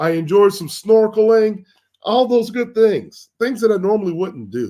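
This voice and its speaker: This man's voice is high-pitched, with a dark, mellow tone and ordinary pitch variation. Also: moderate pace. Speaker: wealth and lifestyle coach, channel host. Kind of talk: motivational talk.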